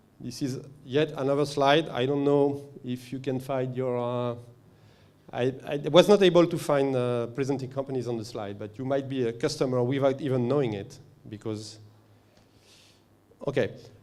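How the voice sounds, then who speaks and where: A man's medium-pitched voice at a moderate pace, fairly even in intonation, with long, frequent pauses and audible room echo. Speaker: company representative presenting at a conference. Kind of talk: conference presentation. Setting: conference stage with audience. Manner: halting, many fillers.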